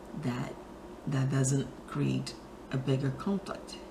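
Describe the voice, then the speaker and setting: Music in the background beneath a woman's very deep, low-pitched voice, very slow in pace. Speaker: spiritual talk show host. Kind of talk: inspirational talk to camera.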